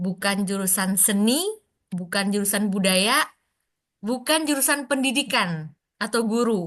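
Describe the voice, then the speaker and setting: Against a quiet background, a woman with a medium pitch and ordinary pitch variation speaks at a fairly slow pace. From West Sumatra, Indonesia. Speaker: Indonesian language teacher for foreigners. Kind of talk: online class moderation. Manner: hesitant, many fillers.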